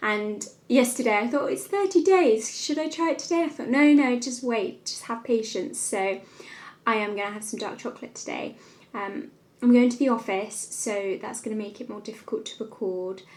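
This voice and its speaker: A woman with a southern English accent speaks at a moderate pace in a fairly high pitch, her intonation lively and her loudness swinging widely. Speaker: lifestyle vlogger. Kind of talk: vlog to camera.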